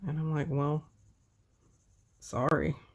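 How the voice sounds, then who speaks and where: At a fairly slow pace, a woman talks in an American accent. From Texas. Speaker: coloring livestreamer. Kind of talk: casual chat.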